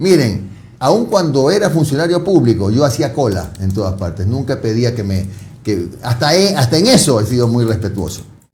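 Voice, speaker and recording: A man's somewhat breathy, medium-pitched voice at a moderate pace, with very wide pitch swings and audible room echo. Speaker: TV interviewer. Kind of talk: interview.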